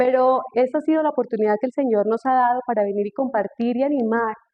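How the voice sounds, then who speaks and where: A woman races along at a very fast pace, her intonation fairly even. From Colombia, Tolima. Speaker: speaker on marriage. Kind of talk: testimony.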